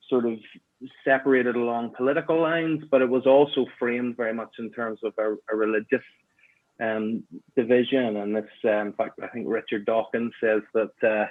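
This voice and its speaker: Here a man talks at a medium pitch and a moderate pace. His intonation is fairly even. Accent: Northern Irish. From Northern Ireland, Belfast. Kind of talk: interview conversation.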